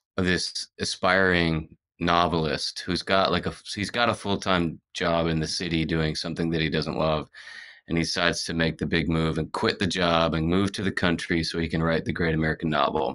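A man's very deep, low voice with a bright, sharp tone, flat monotone intonation and a moderate pace. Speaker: podcast guest. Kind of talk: interview answer. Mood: relaxed, reflective. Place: studio. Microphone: earbuds.

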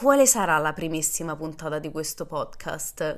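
An animated woman's voice, fairly low in pitch, with lively intonation at a moderate pace over a quiet background. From Rome, Italy; Italy. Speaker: podcast host and social media creator; podcast host, social media creator. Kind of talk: casual monologue. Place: home room. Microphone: studio mic.

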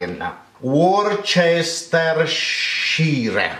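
In an Italian accent, a man speaks at a very slow pace with a fairly high, fairly bright voice and big pitch swings.

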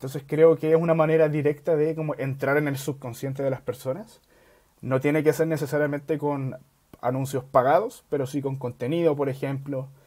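A man's fairly high, dark, mellow voice with fairly even intonation at a fairly quick pace against a quiet background. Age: 20s. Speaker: startup founder; guest. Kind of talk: casual interview. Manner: halting. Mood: relaxed, friendly. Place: home room. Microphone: earbuds.

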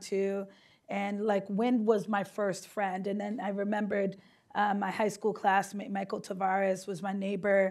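In a quiet background, a woman with an American accent speaks at a moderate pace with monotone, flat intonation. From Boston. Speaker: state senator. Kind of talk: panel discussion. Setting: stage with audience. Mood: earnest, emotional personal story. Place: hall.

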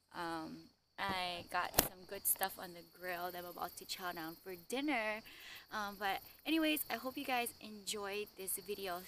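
Her tone is bright and sharp, with lively intonation. The woman's sound is dry with no echo, over light background noise. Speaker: travel vlogger. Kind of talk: casual vlog chat. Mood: excited, cheerful. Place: waterside. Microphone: phone near.

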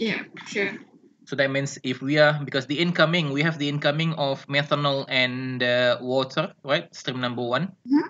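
The pace is moderate, with a little noise in the background. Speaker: instructor. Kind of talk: lecture. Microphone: video call.

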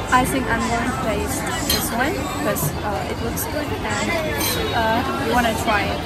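Clear background music beneath a woman's moderately paced speech. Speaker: travel vlogger. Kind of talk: casual vlog chat. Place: street. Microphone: phone near.

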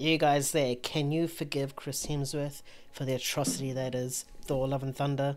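Someone with a New Zealand accent talks at a moderate pace. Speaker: film podcast host. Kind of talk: casual chat. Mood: opinionated, playful. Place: home room. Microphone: studio mic.

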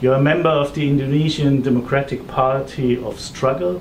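A man keeps a moderate pace as light noise sits in the background. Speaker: interviewer. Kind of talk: interview introduction and questions. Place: office.

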